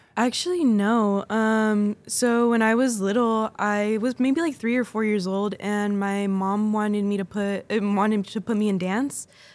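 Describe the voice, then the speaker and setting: In a Californian accent, a woman with a fairly high pitch talks at a fairly slow pace, her intonation fairly even and her loudness very even, on a very clean recording with a silent background. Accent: Californian American English. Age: 20s. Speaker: folklórico dancer and instructor. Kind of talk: casual interview. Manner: laughs often.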